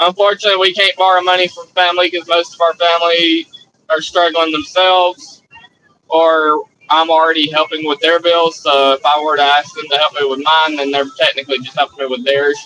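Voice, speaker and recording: A man's high-pitched voice at a fairly quick pace, with fairly even intonation and a dry, close sound with no echo. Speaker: live streamer. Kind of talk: casual chat.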